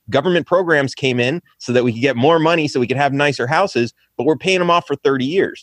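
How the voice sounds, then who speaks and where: A man with an American accent speaks in a fairly high voice at a fairly quick pace with lively intonation, a plain, everyday voice. The sound is dry and close with no echo. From California, identifies as Texan. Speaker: presidential candidate, podcaster. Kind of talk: political debate.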